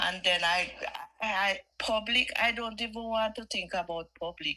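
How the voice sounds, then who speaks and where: A woman talks with a Jamaican accent. Her pitch sits fairly high. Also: moderate pace. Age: 60s. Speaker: caller. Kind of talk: casual chat. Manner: animated.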